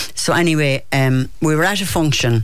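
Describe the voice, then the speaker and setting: Speech with a Kerry accent over noticeable background noise. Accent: Kerry Irish. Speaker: poet. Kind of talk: casual chat. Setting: studio. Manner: animated.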